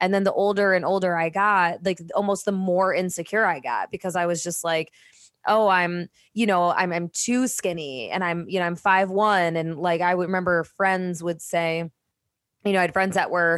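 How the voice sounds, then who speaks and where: With a plain, everyday voice and an American accent, a woman speaks at a fairly low pitch and a moderate pace, with fairly even intonation, in a very clean recording with a silent background. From Michigan, US Midwest. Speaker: podcast co-host. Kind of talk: casual chat.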